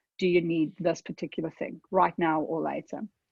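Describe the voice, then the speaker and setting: Speaking in a South African accent, a woman talks at a moderate pace. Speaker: tech consultant. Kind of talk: webinar presentation. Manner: conversational, with fillers.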